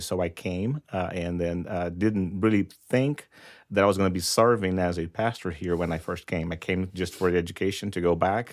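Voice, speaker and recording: Very deep and low in pitch, a man with a Brazilian Portuguese accent speaks at a moderate pace with fairly even intonation, on a very clean recording with a silent background. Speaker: pastor. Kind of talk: interview.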